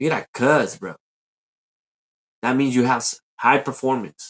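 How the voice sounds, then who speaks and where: This man talks at a fairly slow pace in a medium pitch. The sound is dry and close, with no echo. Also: quiet background. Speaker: livestreamer. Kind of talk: livestream rant. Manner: loud; animated.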